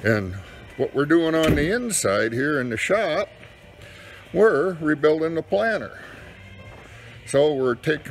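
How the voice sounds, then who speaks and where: A man talks at a fairly slow pace with faint music in the background. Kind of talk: casual vlog chat. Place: workshop. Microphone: phone near.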